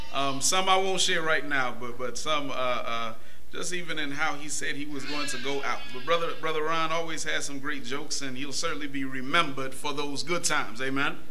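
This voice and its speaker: Talking at a fairly quick pace with hardly any pauses, a man keeps fairly even intonation over light background noise. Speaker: minister preaching. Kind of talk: sermon. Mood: warm, fond remembrance. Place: church.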